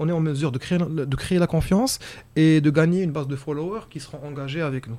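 A man with an ordinary speaking voice, fairly high-pitched, with ordinary pitch variation, big swings in loudness and a fairly quick pace. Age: young. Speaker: entrepreneur. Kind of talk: casual chat.

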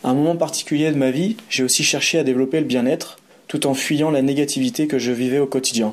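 A man's fairly high-pitched voice at a very fast pace, with very even loudness and ordinary pitch variation. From France, Savoie (Aix-les-Bains). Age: 30s. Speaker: boxer, cultural activity leader and traveler. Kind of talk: reading aloud a personal narrative.

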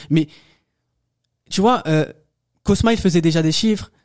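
A man at a moderate pace. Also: long, frequent pauses, very even loudness. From France, Paris suburbs (banlieue). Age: 20s. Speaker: entrepreneur. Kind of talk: casual chat.

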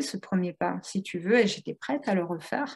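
Against a quiet background, a woman talks at a moderate pace in a somewhat breathy voice, with a medium pitch and ordinary pitch variation. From Italian heritage. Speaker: entrepreneur, platform founder. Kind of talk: interview. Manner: animated.

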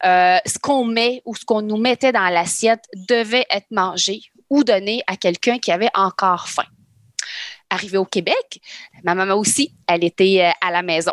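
A woman of medium pitch speaks at a moderate pace with ordinary pitch variation and long, frequent pauses, in a dry, close, very clean recording with a silent background. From Lebanon, then Quebec from childhood. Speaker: nutritionist. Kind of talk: casual chat.

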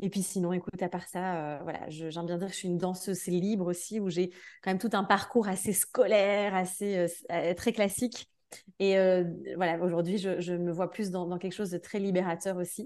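Against a quiet background, a woman speaks at a moderate pace in a medium pitch with monotone, flat intonation. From Belgium. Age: 30s. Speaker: energy therapist and dance teacher. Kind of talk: casual interview. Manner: hesitant, many fillers.

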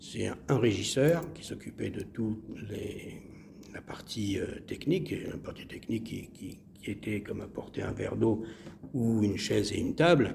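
A man whispers at a fairly slow pace, leaving long, frequent pauses. His loudness swings widely, and room echo is audible. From Marseille, southern France. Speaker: actor and playwright. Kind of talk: interview. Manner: halting, repeats words.

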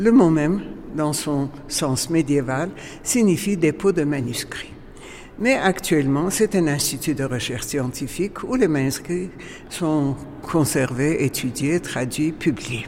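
A very slow voice with an Armenian accent amid noticeable background noise. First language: Armenian (speaking French). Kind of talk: guided museum tour.

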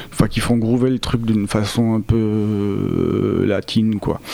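Over noticeable background noise, a man talks at a fairly slow pace with monotone, flat intonation. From France, raised partly in Argentina. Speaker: music producer. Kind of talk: interview.

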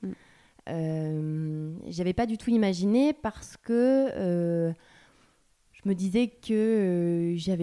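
This woman has a fairly low pitch and a dark, mellow tone, with ordinary pitch variation. She talks at a very slow pace, and her loudness swings widely. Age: 30s. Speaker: professional coach. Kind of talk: interview.

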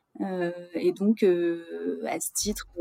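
A woman's fairly low-pitched voice. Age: 30s. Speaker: retail commercial policy manager. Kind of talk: interview. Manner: halting, many hesitations.

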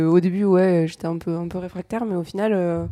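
A woman's fairly low pitch carries a dark, mellow tone and fairly even intonation. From Paris. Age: 20s. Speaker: podcast guest. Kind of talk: casual chat.

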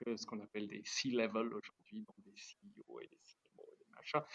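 Heard in a dry, close sound with no echo, a man speaks at a moderate pace. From Switzerland. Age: 50s. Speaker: watch company founder. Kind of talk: interview.

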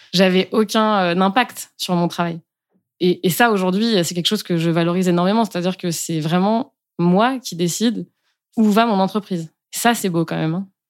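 An ordinary speaking voice comes through at a moderate pace with fairly even intonation in a very clean recording, silent background. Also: woman, medium pitch for a woman. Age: 30s. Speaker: breastfeeding pumping coach. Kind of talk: interview.

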